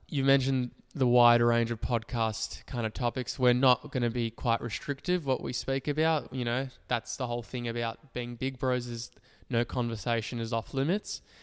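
A man's voice in an Australian accent, with fairly even intonation and a dry, close sound with no echo. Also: medium pitch for a man, moderate pace. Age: 20s. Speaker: podcast co-host, psychology student. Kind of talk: casual chat.

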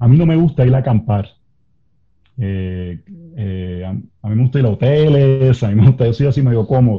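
This somewhat breathy voice moves at a moderate pace with lively intonation. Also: man, medium pitch for a man. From Puerto Rico. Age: 40s. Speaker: pastor. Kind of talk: interview conversation.

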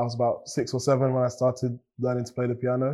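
Speaking fairly quickly in a southern English accent, a man has a medium pitch, a dark, mellow tone and monotone, flat intonation. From England, Cambridge, of Nigerian parents. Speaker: beatboxer and musician. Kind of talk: interview.

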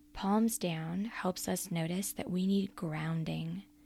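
Very slowly and somewhat breathily, the voice speaks with a calm, gentle, dark, mellow tone and fairly even intonation. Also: woman. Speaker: prayer guide and coach. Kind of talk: guided prayer and meditation. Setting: solo recorded podcast. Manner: slow, calm, gentle; soothing, inviting, warm.

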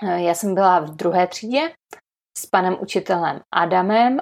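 Using a normal speaking voice, a woman talks at a fairly slow pace with a medium pitch. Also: very clean recording, silent background. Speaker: primary school teacher and podcast host. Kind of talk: casual interview conversation.

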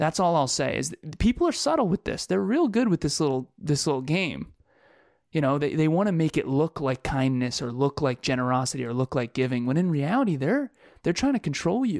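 In a normal speaking voice, a man talks at a fairly quick pace and fairly high pitch with lively intonation. The recording is very clean with a silent background and a dry, close sound with no echo. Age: 30s. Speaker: podcast co-host. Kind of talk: casual chat.

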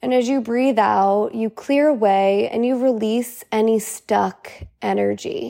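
Speaking very slowly, a woman uses a calm, soothing tone. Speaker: podcast host and integration coach. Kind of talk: guided meditation. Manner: slow, calm, soothing, gentle pacing with long pauses; warm, encouraging, relaxed and conversational.

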